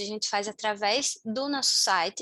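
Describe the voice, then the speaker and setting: Bright and sharp, a woman's raised, projected voice carries a northeastern Brazilian accent. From Brazil, Natal, Rio Grande do Norte. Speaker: community team member of a volunteering platform. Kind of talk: online meeting presentation. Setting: video call.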